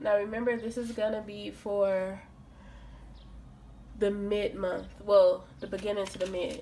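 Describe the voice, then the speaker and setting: A woman's medium-pitched voice, monotone and flat, at a fairly slow pace with long, frequent pauses, audible room echo and noticeable background noise. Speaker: tarot reader. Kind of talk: tarot reading monologue. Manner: casual, conversational.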